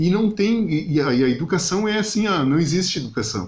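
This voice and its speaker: The intonation is lively. Room echo is audible. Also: man. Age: younger than 62. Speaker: podcast host. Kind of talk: casual interview chat.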